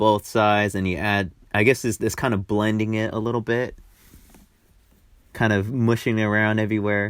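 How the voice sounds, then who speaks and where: A man's fairly low, playful voice in a monotone, flat intonation, at a fairly quick pace. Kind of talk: improvised comedic voiceover narrating a makeup tutorial. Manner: casual, playful, joking.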